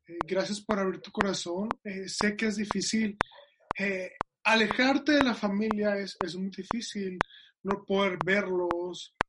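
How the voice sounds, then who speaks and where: Speaking at a fairly slow pace, a man uses a high pitch and fairly even intonation, with big swings in loudness. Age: 20s. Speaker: podcast host. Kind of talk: casual interview chat.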